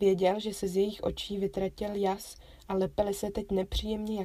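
Reading in a natural voice

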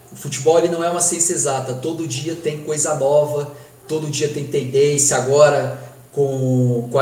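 At a moderate pace, a man with a fairly high pitch speaks in a monotone, flat way, with audible room echo and noticeable background noise. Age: 20s. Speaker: football performance analyst and student. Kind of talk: interview.

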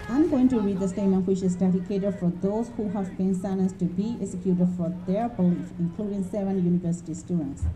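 Over music in the background, a woman talks at a very fast pace with hardly any pauses. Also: medium pitch for a woman, ordinary pitch variation. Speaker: rally organizer. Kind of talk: rally speech, formal statement read aloud to a crowd. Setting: outdoor rally, public gathering. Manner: formal, solemn, measured; earnest, firm, condemnatory.

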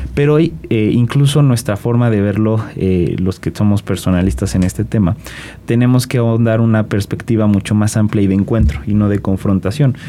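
Noticeable background noise runs under a man speaking at a moderate pace. His fairly low voice has lively intonation and very even loudness. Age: 20s. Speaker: political scientist and youth civic leader. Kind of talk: interview.

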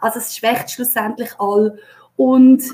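A woman with a Swiss accent, high-pitched, with ordinary pitch variation and a fairly slow pace. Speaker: HR consultant and leadership coach. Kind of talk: live-stream interview.

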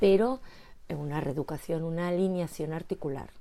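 A woman with a fairly low pitch and a dark, mellow tone speaks at a moderate pace in a very clean recording with a silent background. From Spain. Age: 50s. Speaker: postural therapist and former dancer. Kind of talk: casual interview.

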